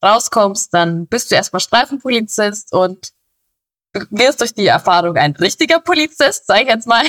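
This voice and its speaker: The speech moves at a moderate pace, with a dry, close sound and no echo. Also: woman. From Bavaria. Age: 20s. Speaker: police officer. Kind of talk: interview. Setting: recorded at home.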